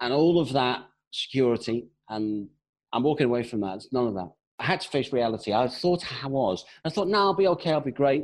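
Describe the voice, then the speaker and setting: A man with a British accent speaks at a very fast pace. The background is quiet. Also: medium pitch for a man. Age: 40s. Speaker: sales coach. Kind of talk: interview.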